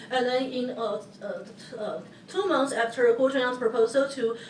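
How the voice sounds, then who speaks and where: Noticeable background noise and audible room echo surround speech at a moderate pace with ordinary pitch variation. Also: woman. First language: Hokkien (Taiwanese). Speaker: historian, panelist. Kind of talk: conference panel talk. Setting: auditorium with audience. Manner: halting, many fillers.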